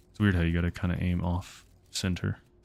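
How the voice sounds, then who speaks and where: A man is speaking. He whispers. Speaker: video game streamer. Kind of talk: live gameplay commentary. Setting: livestream. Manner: whispering.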